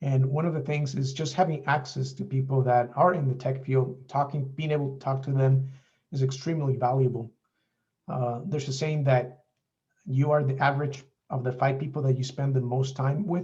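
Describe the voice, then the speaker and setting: A man speaks at a medium pitch in a dark, mellow, somewhat breathy tone. His delivery is monotone and flat, at a moderate pace. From Mexico. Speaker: software developer. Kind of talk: presentation.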